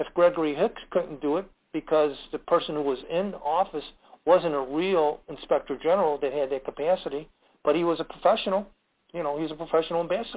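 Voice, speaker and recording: This man's pitch is fairly high. He talks at a fairly quick pace with fairly even intonation. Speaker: national security expert. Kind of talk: interview. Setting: radio broadcast. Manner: fast.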